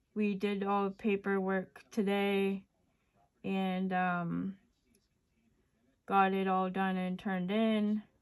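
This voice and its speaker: Quiet and very slow, a woman's medium-pitched voice holds a flat, monotone line broken by long, frequent pauses. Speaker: resin crafter. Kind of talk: casual craft tutorial chat. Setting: at home late at night.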